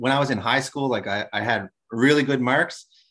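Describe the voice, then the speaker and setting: With a quiet background, a plain, everyday voice speaks at a fairly quick pace with ordinary pitch variation. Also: man. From New Brunswick, Canada. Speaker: guest, teacher and former hockey player. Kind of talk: interview.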